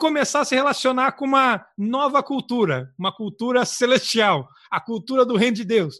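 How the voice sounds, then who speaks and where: Over a quiet background comes a raised, projected voice, bright and sharp in tone, at a moderate pace with lively intonation. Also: man. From southern Brazil. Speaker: missionary podcast co-host. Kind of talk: casual religious chat.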